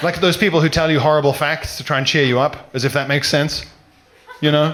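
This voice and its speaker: Noticeable background noise surrounds a man speaking at a very fast pace with an English accent. His voice is fairly high-pitched, with fairly even intonation and very even loudness. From South Africa, then England. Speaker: comedian. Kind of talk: stand-up.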